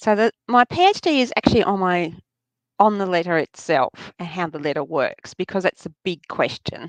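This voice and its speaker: Medium-pitched woman with an Australian accent, lively intonation and a moderate pace, in a dry, close sound with no echo. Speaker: New Testament scholar. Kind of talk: interview. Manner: halting, many fillers.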